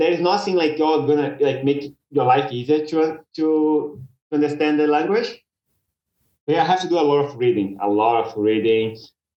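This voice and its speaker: A man with a Brazilian accent speaks at a moderate pace in a fairly high pitch. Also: ordinary pitch variation. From Brazil, Belo Horizonte. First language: Portuguese. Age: 30s. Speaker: commercial pilot. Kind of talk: podcast interview. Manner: halting, repeats words.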